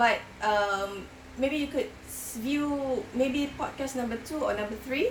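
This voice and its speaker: The woman here has a high-pitched voice. Room echo is audible around her. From Singapore. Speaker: crochet podcaster. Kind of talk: casual vlog chat. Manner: hesitant with many fillers.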